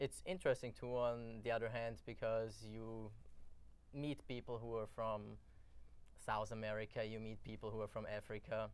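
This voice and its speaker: A man with an Austrian accent speaks at a moderate pace. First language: German. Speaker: college soccer player. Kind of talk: interview.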